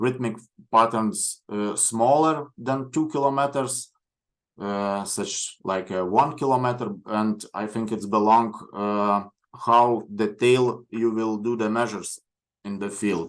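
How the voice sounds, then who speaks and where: At a very slow pace, a man with a Lithuanian accent speaks at medium pitch with fairly even intonation against a quiet background. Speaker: coastal geoscience researcher. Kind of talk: lecture. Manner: halting.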